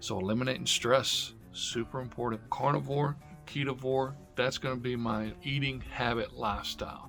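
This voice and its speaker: Music plays in the background while a man speaks at a moderate pace. His medium pitch carries an upbeat tone. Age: 50s. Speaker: diet vlogger. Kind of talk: casual talk to camera. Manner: upbeat, motivational.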